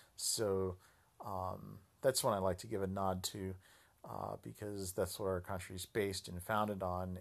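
A man's very deep, low voice with an American accent and fairly even intonation, on a very clean recording with a silent background. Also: moderate pace. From United States. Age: 40s. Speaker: podcast host. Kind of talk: solo political commentary monologue. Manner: halting, many fillers.

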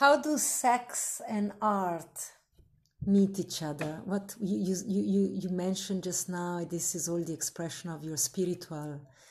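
Somewhat breathy, a woman with an Italian accent talks at a fairly slow pace, her fairly low pitch carried by lively intonation.

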